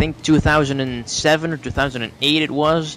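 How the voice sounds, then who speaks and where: With a Dutch accent, a man talks at a fairly quick pace in fairly even intonation over noticeable background noise. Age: 18. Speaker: YouTube let's play narrator. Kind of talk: casual interview.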